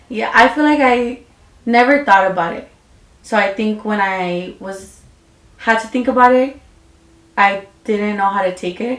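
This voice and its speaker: A woman with a fairly high pitch and ordinary pitch variation speaks at a moderate pace, her loudness swinging widely. Long, frequent pauses break her speech, and background noise is noticeable. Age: 20s. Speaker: beauty business owner. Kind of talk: casual chat.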